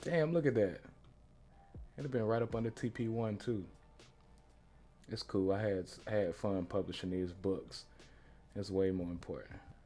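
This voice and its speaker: Music plays behind a man with a fairly low pitch. He uses ordinary pitch variation and leaves long, frequent pauses. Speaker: trading coach. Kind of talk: live trading tutorial. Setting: livestream. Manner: fast; animated.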